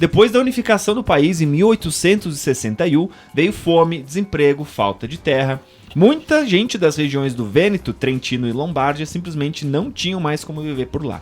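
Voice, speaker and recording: With music in the background, a man with a Serra Gaúcha accent speaks at a moderate pace in a fairly high voice with lively intonation. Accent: local Serra Gaúcha. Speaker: podcast host. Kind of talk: reading aloud; casual chat. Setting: radio studio.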